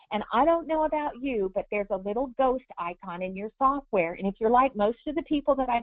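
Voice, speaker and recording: In a plain, everyday voice, the speaker talks at a fairly quick pace with lively intonation. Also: woman. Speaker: embroidery software instructor. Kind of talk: tutorial. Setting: webinar.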